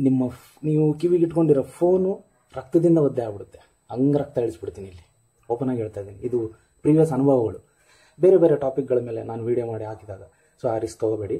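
A man with a medium-pitched, dark, mellow voice speaks somewhat breathily, with lively intonation and big swings in loudness. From North Karnataka, India (Ballari). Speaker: struggling actor, video blogger. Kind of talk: video monologue addressing a director. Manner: animated.

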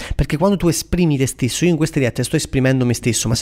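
Very fast and animated in tone, a man speaks with ordinary pitch variation. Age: 20s. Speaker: career coach and entrepreneur. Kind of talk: casual Instagram live Q&A.

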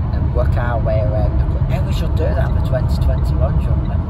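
A man talks while loud background noise fills the recording. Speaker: travel vlogger. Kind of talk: casual vlog chat. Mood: cheerful, relaxed. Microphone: phone near.

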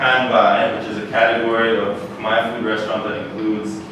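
There is strong room echo and noticeable background noise. A man speaks at a fairly slow pace with fairly even intonation. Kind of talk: lecture. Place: hall.

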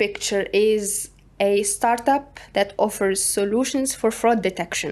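Her pace is moderate. The woman's pitch varies in an ordinary way. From Tunisia. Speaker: startup co-founder; guest. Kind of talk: interview. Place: studio. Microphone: studio mic.

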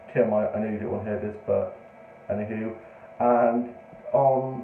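There is audible room echo and light background noise as a man talks at a moderate pace. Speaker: vlogger. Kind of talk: casual vlog chat. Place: home room. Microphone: phone near.

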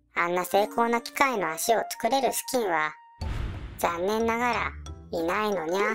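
With clear music in the background, a female-sounding voice in a put-on character voice speaks at a medium pitch and a moderate pace. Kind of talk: cute mascot character voice. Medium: audio drama. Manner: cutesy, adds a meow sound to sentence ends.

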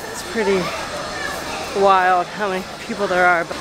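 Over clear crowd noise and clear background noise, a woman speaks at a fairly slow pace.

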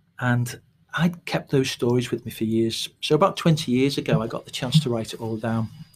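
In a Scouse accent, a man speaks at a moderate pace and medium pitch, somewhat breathy, with ordinary pitch variation. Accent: mild Liverpool (Scouse). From Liverpool outskirts, Liverpool Irish background. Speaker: playwright. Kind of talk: casual interview chat.

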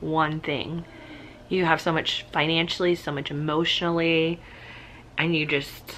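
Over light background noise, a woman with a fairly low pitch talks at a moderate pace in a flat, monotone way. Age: 30s. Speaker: vlogger. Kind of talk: casual vlog. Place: home room. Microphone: phone near.

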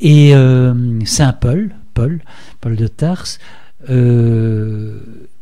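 The background is quiet while a man talks very slowly. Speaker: art historian; radio interviewee. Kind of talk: radio interview. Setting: studio. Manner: halting, many repetitions. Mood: calm explanatory. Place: studio.

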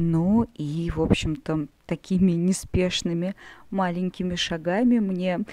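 Her tone dark and mellow, a woman speaks at a very slow pace with fairly even intonation. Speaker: amateur artist. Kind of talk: casual vlog talk while drawing.

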